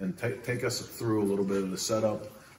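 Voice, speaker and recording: Speaking at a fairly quick pace, a man with a fairly low pitch and ordinary pitch variation is heard over light background noise with audible room echo. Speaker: host interviewing shop owner. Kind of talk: casual interview chat. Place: workshop. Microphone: camera far.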